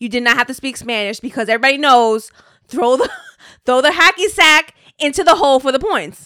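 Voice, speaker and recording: A woman's high, bright, sharp, raised and projected voice with lively intonation at a fairly quick pace, on a very clean recording with a silent background. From Puerto Rico heritage, US. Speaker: podcaster with radio voice. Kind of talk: casual chat.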